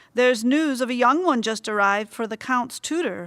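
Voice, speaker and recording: In a put-on character voice, a woman growls in a gruff, high-pitched way at a fairly quick pace. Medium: read story. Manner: gruff, growling.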